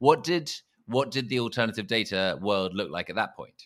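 Delivery is fairly quick, with a bright, sharp tone. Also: man. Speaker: podcast host. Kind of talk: interview conversation.

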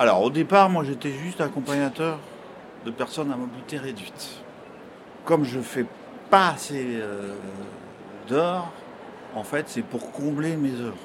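Speaking at a fairly slow pace with long, frequent pauses, a man uses a fairly high pitch. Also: ordinary pitch variation. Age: 60s. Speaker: driver and escort for people with reduced mobility. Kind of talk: testimony. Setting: trade fair. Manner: halting, with frequent hesitations.

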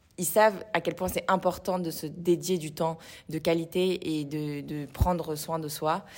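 A woman speaks with a very deep, low pitch. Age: 20s. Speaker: fitness studio co-founder. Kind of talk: casual interview.

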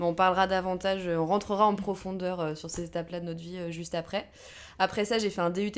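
A woman speaks in a normal speaking voice at medium pitch, with fairly even intonation at a moderate pace, on a very clean recording with a silent background. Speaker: podcast co-host. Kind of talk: casual chat.

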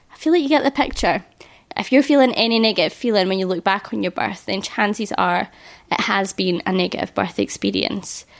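Her medium-pitched voice, marked by vocal fry and lively intonation, moves at a fairly quick pace as this woman speaks. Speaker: podcast host, hypnobirthing teacher. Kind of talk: solo podcast talk. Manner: animated.

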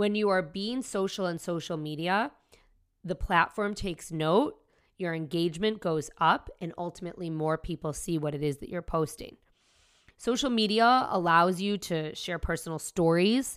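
Using a normal speaking voice, a woman talks at a moderate pace with fairly low pitch and ordinary pitch variation, recorded very cleanly against a silent background. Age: 40s. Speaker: podcast host, entrepreneur. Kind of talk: solo podcast tutorial.

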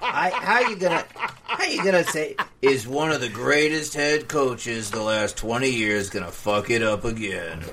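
Over noticeable background noise, a man at medium pitch talks with very wide pitch swings and hardly any pauses. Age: 30s. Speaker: podcast co-host. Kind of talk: casual chat.

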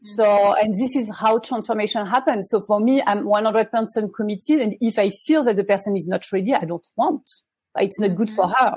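Speaking at a fairly quick pace, a woman with a French accent sounds somewhat breathy. Her pitch is fairly high, with ordinary pitch variation. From France. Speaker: life coach. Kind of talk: casual interview. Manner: hesitant, many fillers.

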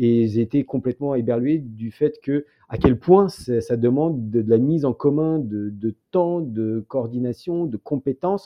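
A man speaks at a fairly slow pace, with ordinary pitch variation. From France, born in the Soviet Union. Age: 40s. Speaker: documentary filmmaker. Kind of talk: interview. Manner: halting.

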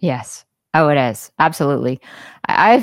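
Here a woman speaks at a fairly slow pace with a Southern US accent. The recording is very clean, with a silent background. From US South, Jackson, Mississippi. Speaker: singer-songwriter. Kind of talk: casual chat.

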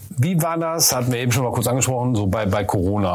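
Talking at a fairly quick pace, a man with an unremarkable speaking voice and medium pitch uses lively intonation. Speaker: podcast host and business consultant. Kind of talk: casual interview.

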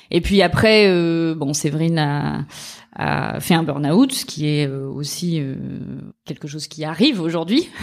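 Very slowly, a woman with a very deep, low voice speaks with ordinary pitch variation and big swings in loudness. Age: 30s. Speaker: lawyer. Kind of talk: interview. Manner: halting.

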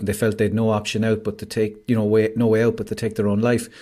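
A man with an Irish accent at a very fast pace. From Ireland. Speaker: mental health campaigner. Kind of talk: casual chat. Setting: video call. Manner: animated. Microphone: home studio microphone.

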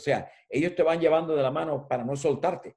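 The recording is very clean and the background silent. A man's tone comes across dark and mellow. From Cuba. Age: 70s. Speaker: editorial design consultant and journalism professor. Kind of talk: interview.

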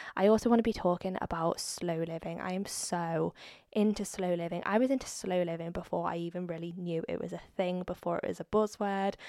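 In a very clean recording with a silent background, a woman talks fairly quickly at a fairly low pitch with fairly even intonation. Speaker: podcast host. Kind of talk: casual solo chat. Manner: chatty.

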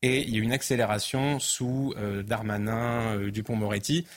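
Medium-pitched, a man speaks at a moderate pace with fairly even intonation. He has an unremarkable speaking voice. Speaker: author and immigration commentator. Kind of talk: studio debate and interview.

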